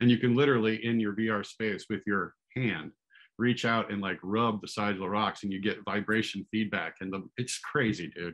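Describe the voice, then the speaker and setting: A man's normal speaking voice, fairly low in pitch, with an American accent, fairly even intonation and a quiet background. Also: moderate pace. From US Pacific Northwest, Seattle. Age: 50s. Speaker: actor. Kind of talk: casual chat. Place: home room. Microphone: video call.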